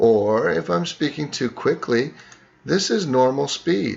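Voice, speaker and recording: This man's voice is fairly high and moves in very wide pitch swings. He speaks at a fairly slow pace. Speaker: teacher. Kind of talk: tutorial.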